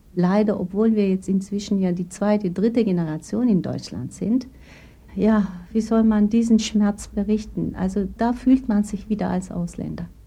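A woman with a Turkish accent, medium in pitch and somewhat breathy, with a dark, mellow tone, ordinary pitch variation and a fairly slow pace. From Turkey, moved to Baden-Württemberg at 12. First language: Turkish (speaking German). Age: 40s. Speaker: gynecologist. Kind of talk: interview testimony.

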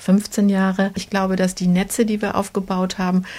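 Somewhat breathy woman, medium pitch, monotone, flat intonation, moderate pace. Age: 50s. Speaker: women's project founder. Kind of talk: interview.

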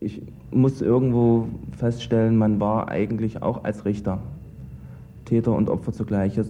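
Long, frequent pauses break up this fairly slow speech, which has ordinary pitch variation. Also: man, fairly low pitch for a man. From East Germany. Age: 20s. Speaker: former judge. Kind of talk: interview.

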